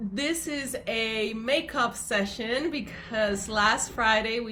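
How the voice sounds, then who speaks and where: With noticeable background noise behind her, a woman speaks at a very slow pace in a fairly high voice with ordinary pitch variation. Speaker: yoga teacher, live-stream host. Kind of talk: casual live-stream conversation.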